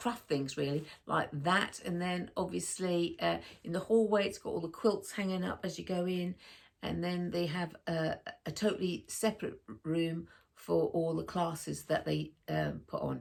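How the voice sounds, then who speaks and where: This woman has a slight northern English accent and speaks at a moderate pace. The recording is very clean, with a silent background. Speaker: sewing vlogger. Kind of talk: casual vlog chat. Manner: chatty, hesitant with many fillers.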